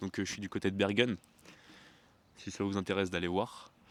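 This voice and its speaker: A man speaks with a fairly low pitch. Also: very clean recording, silent background. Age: 20s. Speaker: travel vlogger. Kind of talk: vlog. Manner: hesitant, many fillers.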